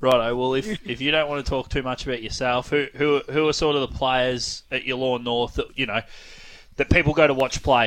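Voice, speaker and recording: Speaking with an Australian accent, a man talks at a fairly quick pace. His pitch is medium. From East Gippsland, Victoria, Australia. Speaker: radio host. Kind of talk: radio interview.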